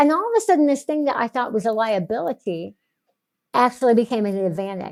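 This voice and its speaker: A very fast woman's voice, fairly high and with lively intonation, on a very clean recording with a silent background. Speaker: business consultant and faith writer. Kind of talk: interview testimony.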